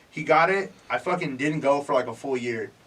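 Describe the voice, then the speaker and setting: A man with an American accent, fairly high in pitch and fairly quick in pace, over noticeable background noise. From California, Bay Area. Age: 30s. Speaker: musician. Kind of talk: casual chat. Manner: casual, slangy.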